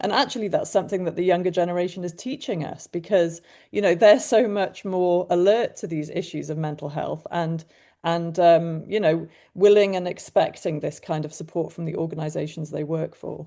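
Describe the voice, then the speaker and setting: Against a quiet background, a woman with a British accent speaks at a moderate pace in a dark, mellow tone, with big swings in loudness. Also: fairly low pitch for a woman, ordinary pitch variation. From UK. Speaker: mental health coach, former journalist. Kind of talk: webinar panel discussion.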